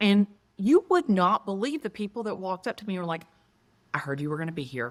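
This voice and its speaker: Speaking at a very fast pace in a strong Southern US accent, a woman's medium-pitched voice swings very widely in pitch, captured in a dry, close sound with no echo on a very clean recording with a silent background. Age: 50s. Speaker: real estate agent. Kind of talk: interview conversation. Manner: animated.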